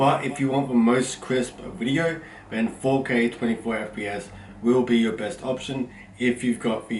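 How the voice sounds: A loud man at medium pitch, with audible room echo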